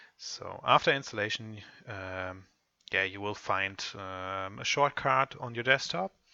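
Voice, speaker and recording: In a German accent, a man speaks at a fairly slow pace with a fairly low pitch. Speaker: software tutorial presenter. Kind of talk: tutorial. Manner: halting, many fillers.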